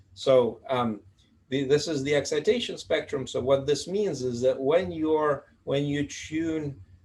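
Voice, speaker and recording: A man's fairly high, somewhat breathy voice shows ordinary pitch variation as he talks. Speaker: physics professor. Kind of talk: lecture. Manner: fast; halting, many fillers.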